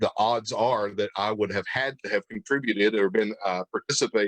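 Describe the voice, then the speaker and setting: A man with a Tennessee accent speaks at a moderate pace and medium pitch with fairly even intonation, recorded in a dry, close sound with no echo. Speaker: pastor and church history interviewer. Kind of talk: casual interview chat. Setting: livestream video call.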